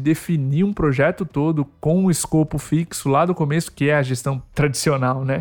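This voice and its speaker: A fairly high-pitched, somewhat breathy male voice with ordinary pitch variation at a fairly slow pace. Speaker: podcast host. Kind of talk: interview.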